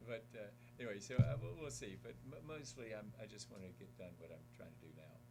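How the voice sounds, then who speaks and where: In a room with audible echo, a man with an American accent talks at a fairly quick pace, his dark, mellow, medium-pitched voice showing vocal fry, ordinary pitch variation and big swings in loudness. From South Carolina, US South. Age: 60s. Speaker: former congressman, climate advocacy director. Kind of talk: radio interview. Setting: radio studio.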